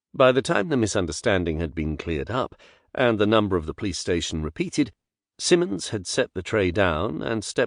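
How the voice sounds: Quiet surroundings behind a natural reading voice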